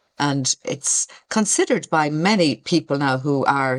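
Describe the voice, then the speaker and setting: A woman with an Irish accent and a very deep, low pitch, in a dry, close sound with no echo. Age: 60s. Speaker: retired community worker. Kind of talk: podcast interview. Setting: video call.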